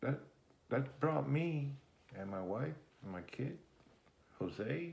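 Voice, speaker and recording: Very wide pitch swings mark a man's speech at a very slow pace, heard with audible room echo. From Germany and Puerto Rico. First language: German. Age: 60s. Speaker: interviewee, grandfather. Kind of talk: family interview.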